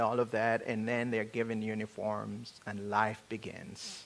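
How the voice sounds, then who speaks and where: A man with an African accent, talking at a fairly slow pace. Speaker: preacher. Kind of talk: sermon. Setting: church.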